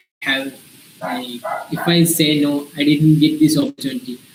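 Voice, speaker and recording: There is noticeable background noise behind a man with an Indian accent. His pitch is fairly high and his intonation fairly even. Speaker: invited speaker, early-career professional. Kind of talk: talk to students in an online session. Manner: halting, many fillers.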